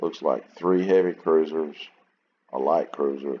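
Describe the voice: A man speaks at an extremely low pitch with ordinary pitch variation. His pace is fairly slow.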